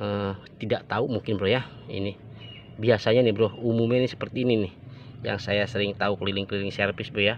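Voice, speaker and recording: Very fast, monotone speech with flat intonation, a dry sound with no echo and light background noise. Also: man, fairly low pitch for a man. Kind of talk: tutorial. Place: open country. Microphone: phone near.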